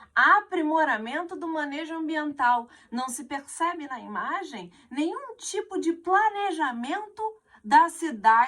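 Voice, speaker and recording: Speaking at a very slow pace, a woman makes very wide pitch swings. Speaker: teacher. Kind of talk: exam correction lesson.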